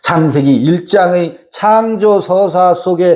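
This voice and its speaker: Animated in tone, a man talks at a high pitch with ordinary pitch variation. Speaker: Bible teacher. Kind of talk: Bible study lecture with audience. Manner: loud.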